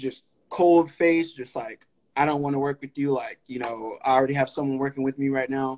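In an American accent, a man talks at a fairly quick pace with a fairly high pitch and monotone, flat intonation, in a dry, close sound with no echo. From Sacramento area, California (grew up in North Highlands, from Stockton). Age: young. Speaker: podcast host. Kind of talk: casual interview conversation. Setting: live stream.

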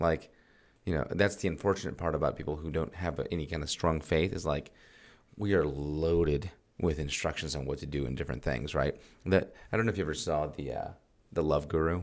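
Very deep, low male voice with vocal fry, ordinary pitch variation and a fairly quick pace on a very clean recording with a silent background. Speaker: podcast host. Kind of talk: casual chat. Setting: studio. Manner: loud.

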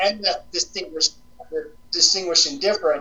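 A man speaks with a high pitch and ordinary pitch variation. His tone is fairly bright.

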